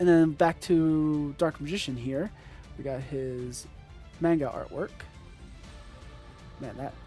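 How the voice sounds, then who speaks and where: Over background music, a man with a fairly high pitch and ordinary pitch variation talks at a fairly slow pace, with long, frequent pauses and big swings in loudness. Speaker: trading card collector. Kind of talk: casual talk to camera. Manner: unscripted, stuttering, hesitant.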